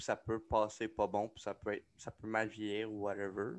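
With a Quebec accent, a man talks at a moderate pace and medium pitch against a quiet background. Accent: Québécois French. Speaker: podcast co-host, aspiring comedian. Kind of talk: casual chat. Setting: home studio.

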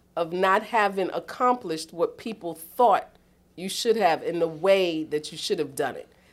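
In a very clean recording with a silent background, a woman with a New York accent talks in an animated tone, her loudness swinging widely. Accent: New York City. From New York City, East Harlem. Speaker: boarding school dean of residential life. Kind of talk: casual interview.

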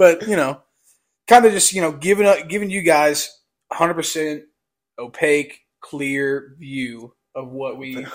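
A man's fairly high-pitched voice at a very slow pace, with long, frequent pauses, ordinary pitch variation and big swings in loudness. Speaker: podcast co-host. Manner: stutters; heavy use of fillers like "you know".

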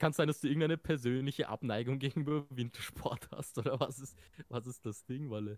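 This man has a normal speaking voice at medium pitch, with fairly even intonation and a fairly quick pace. The sound is dry and close, with no echo. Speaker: podcast co-host. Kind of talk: casual chat.

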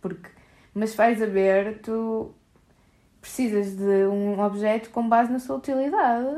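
Her voice has a dark, mellow tone and a fairly high pitch for a woman. She talks at a fairly slow pace, with long, frequent pauses. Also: ordinary pitch variation. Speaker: podcast co-host. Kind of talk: casual chat.

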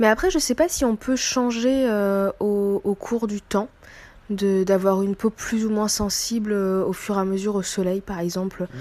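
The voice has a dark, mellow tone with ordinary pitch variation. It moves at a moderate pace. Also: woman, medium pitch for a woman. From La Réunion. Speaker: live listener joining the discussion. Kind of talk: casual chat.

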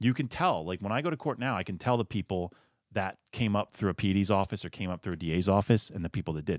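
A man with a Philadelphia accent talks at a very fast pace in a fairly low pitch with ordinary pitch variation. The recording is very clean with a silent background, the sound dry and close with no echo. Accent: Philadelphia-area American. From Pennsylvania, Philadelphia area (Chadds Ford). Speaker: personal injury attorney. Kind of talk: casual interview.

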